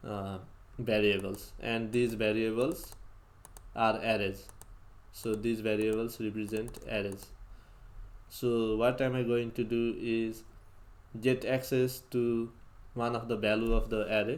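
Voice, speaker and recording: Speaking with a non-native accent, this voice moves at a fairly slow pace in a flat monotone, broken by long, frequent pauses. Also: man, medium pitch for a man. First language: not English. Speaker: programming tutorial youtuber. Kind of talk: coding tutorial. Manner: halting.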